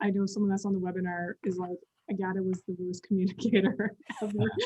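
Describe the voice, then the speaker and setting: Her voice is somewhat breathy and medium in pitch. She speaks at a fairly quick pace. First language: not English. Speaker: communications company employee, guest speaker. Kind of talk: webinar interview.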